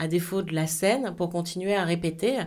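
Her pace is fairly slow, with fairly even intonation at a medium pitch. The woman's voice carries audible room echo. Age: 40s. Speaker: TV presenter and programme coordinator. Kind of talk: interview.

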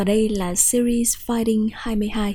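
Over a very clean recording with a silent background, a woman speaks in a somewhat breathy, fairly high voice with a dark, mellow tone. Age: 20s. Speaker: podcast host. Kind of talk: personal monologue podcast.

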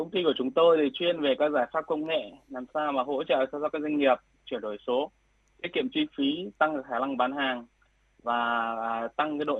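Moving at a moderate pace, this man has an unremarkable speaking voice, fairly high in pitch with ordinary pitch variation. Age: 30s. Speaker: tech company founder. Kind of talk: radio interview.

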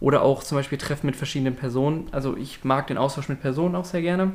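A man talks in an ordinary speaking voice. It sits at a fairly high pitch with fairly even intonation. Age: 20s. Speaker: university student and podcast host. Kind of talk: casual chat.

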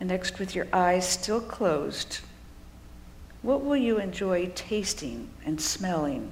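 Over noticeable background noise, a woman talks at a very slow pace and medium pitch, her tone warm and calm and her intonation lively. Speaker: preacher. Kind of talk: sermon with guided visualization. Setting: church. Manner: slow, calm, soothing, inviting the congregation to close eyes; warm, gently paced, with pauses and listing images.

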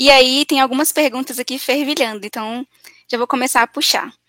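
A woman projects a raised voice with a high pitch and a bright, sharp tone. She keeps a moderate pace and fairly even intonation. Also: dry, close sound with no echo. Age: 20s. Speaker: event moderator. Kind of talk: live Q&A moderation. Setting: online live event, at home.

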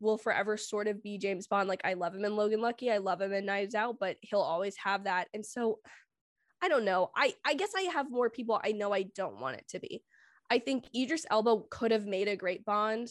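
A woman with an unremarkable speaking voice talks at a fairly quick pace in a fairly high pitch with ordinary pitch variation, the sound dry and close with no echo against a quiet background. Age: 20s. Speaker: film YouTuber. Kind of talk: casual chat.

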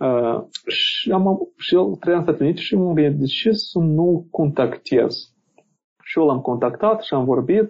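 Speaking at a fairly slow pace, a man with a high pitch keeps a very even loudness and uses lively intonation. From Moldova. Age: 20s. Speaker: tax lawyer. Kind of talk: casual interview. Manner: halting, many fillers.

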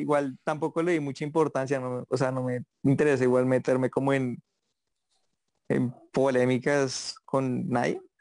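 Against a quiet background, a man at medium pitch speaks at a moderate pace with monotone, flat intonation, the sound dry and close with no echo. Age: 20s. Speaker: TikToker. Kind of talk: casual chat.

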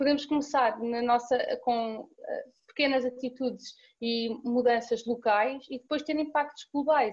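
A woman talks in a high pitch. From Portugal, Cascais. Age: 20s. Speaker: student volunteer. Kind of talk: casual interview chat.

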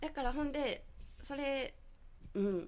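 Audible room echo surrounds a woman whose pitch swings very widely. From Nara Prefecture, Japan (rural Yoshino). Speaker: beauty salon owner and aroma therapist. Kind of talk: radio interview. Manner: chatty, frequent laughter.

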